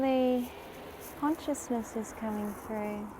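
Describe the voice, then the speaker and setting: A woman with a fairly high-pitched voice talks against noticeable background noise and audible room echo. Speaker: spiritual livestreamer. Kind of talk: live stream commentary. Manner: animated.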